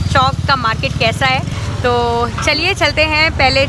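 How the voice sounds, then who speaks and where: A woman speaks at a fairly slow pace. Noise is clearly present in the background. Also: dry sound with no echo. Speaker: lifestyle vlogger. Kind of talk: casual vlog chat. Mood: cheerful, upbeat. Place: market. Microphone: phone near.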